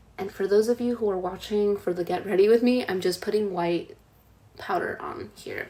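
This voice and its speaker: A woman with an American accent talks at medium pitch and a moderate pace, her intonation fairly even, amid noticeable background noise. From United States. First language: Spanish. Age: 20s. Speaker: tarot reader and spiritual content creator. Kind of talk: live stream talk with guided meditation instructions. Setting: live stream while doing makeup. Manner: casual, conversational with filler words.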